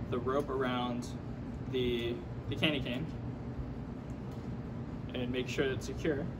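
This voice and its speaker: A man talks at a fairly slow pace. Loud background noise runs underneath him. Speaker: student making a craft tutorial. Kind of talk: tutorial. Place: hall.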